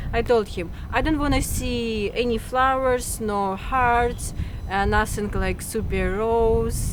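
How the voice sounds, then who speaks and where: A woman with a fairly high pitch speaks at a very slow pace with fairly even intonation. Noticeable background noise and audible room echo fill the recording. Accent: Russian. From Russia. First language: Russian. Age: 20s. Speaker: interviewee about her tattoos. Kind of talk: casual interview. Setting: outdoors on a rooftop.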